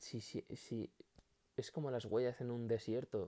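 A man speaks fairly slowly at a medium pitch, his dark, mellow tone caught in a dry, close sound with no echo. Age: 20s. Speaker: solo podcaster. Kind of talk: casual monologue. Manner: halting.

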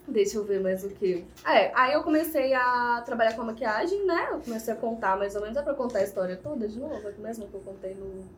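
Noticeable background noise sits behind a woman speaking at a fairly quick pace and fairly high pitch with hardly any pauses. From Brazil, Viçosa (Minas Gerais). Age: 20s. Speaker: makeup artist and small business owner. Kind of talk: casual interview.

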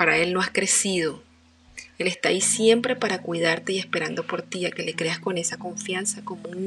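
A woman's medium-pitched voice at a moderate pace, with fairly even intonation and noticeable background noise. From Venezuela, Barquisimeto. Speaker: podcast host and author. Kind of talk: inspirational monologue.

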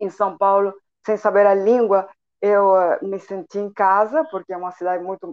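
A woman with a Spanish accent speaks at a medium pitch, the sound dry and close with no echo. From Chile, Santiago. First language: Spanish (speaking Portuguese). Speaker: entrepreneur and translator. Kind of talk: radio interview.

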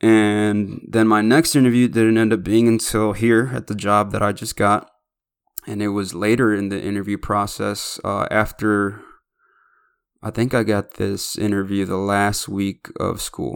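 Speaking with an American accent at a fairly slow pace, a man with fairly low pitch keeps a fairly even intonation on a very clean recording with a silent background. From Chicago, west side. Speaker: podcast host. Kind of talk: casual monologue. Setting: home studio.

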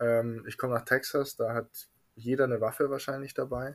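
A man's medium-pitched, monotone voice with flat intonation, on a very clean recording with a silent background. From Bavaria, Munich. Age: 20s. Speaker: refrigeration mechatronics technician. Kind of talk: casual interview.

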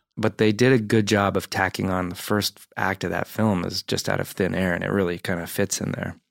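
An unremarkable speaking voice moves at a fairly quick pace with hardly any pauses. Intonation stays fairly even, and the sound is dry and close with no echo. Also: man, fairly low pitch for a man. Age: 40s. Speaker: actor and comedian, film buff guest. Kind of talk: casual chat. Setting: studio.

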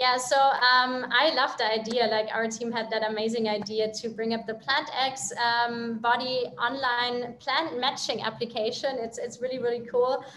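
Speaking with a German accent, a woman uses a high pitch and flat, monotone intonation, with hardly any pauses. Noticeable background noise and audible room echo fill the recording. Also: moderate pace. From Germany. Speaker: company CEO. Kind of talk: business interview.

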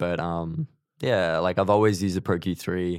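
Very deep, low male voice with lively intonation at a moderate pace, on a very clean recording with a silent background. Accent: Australian. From Queensland, Australia (small country town). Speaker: mixing and mastering engineer. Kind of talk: casual interview chat.

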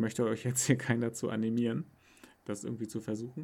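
A man speaks at a fairly quick pace and medium pitch. His tone is dark and mellow, with vocal fry. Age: 30s. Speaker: podcast co-host. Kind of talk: casual chat.

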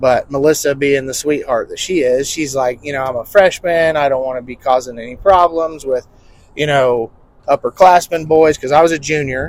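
A man with an ordinary speaking voice talks at a moderate pace in a fairly high pitch with fairly even intonation. His loudness swings a lot. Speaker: podcast host. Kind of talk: casual chat. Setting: in a car. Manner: casual, chatty.

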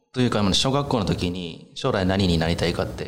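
Audible room echo surrounds a man talking at a fairly quick pace with lively intonation. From Japan, Iki island, Nagasaki, Kyushu. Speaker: chef. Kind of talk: interview.

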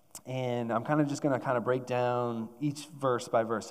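A man's plain, everyday voice at a medium pitch and a moderate pace. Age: 30s. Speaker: church staff preacher. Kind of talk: sermon. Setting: church.

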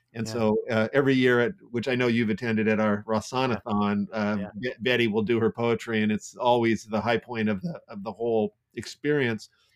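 A man with a medium-pitched voice talks at a fairly quick pace in a fairly even tone, with hardly any pauses, in a dry, close sound with no echo. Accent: Californian. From US West Coast, Santa Clara, California. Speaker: entrepreneur and nonprofit executive director. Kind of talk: casual interview.

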